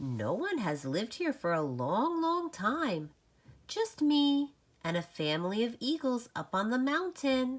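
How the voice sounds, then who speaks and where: A squeaky, put-on character voice moves at a fairly slow pace. Its pitch swings very widely. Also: female-sounding voice, high pitch for a woman. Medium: read story.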